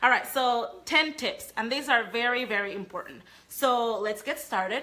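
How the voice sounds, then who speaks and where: A woman with a Panamanian accent speaks at a moderate pace in a high, bright, sharp voice with ordinary pitch variation. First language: Spanish. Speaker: sales trainer. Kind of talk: live training talk.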